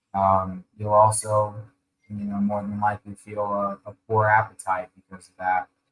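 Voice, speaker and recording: Soft-spoken, a man talks at a moderate pace with a fairly low pitch and monotone, flat intonation. The sound is dry and close with no echo. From Ukraine, moved to US at age eight. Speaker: colon hydrotherapist, wellness practitioner. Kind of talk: podcast interview. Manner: halting, many fillers. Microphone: too quiet, far from the mic.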